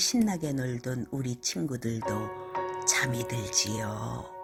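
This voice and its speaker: With music in the background, a woman speaks at a very slow pace in a very deep, low pitch. Her tone is gentle and soothing, with very wide pitch swings. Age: old. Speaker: storyteller. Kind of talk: children's bedtime story. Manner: gentle, soothing.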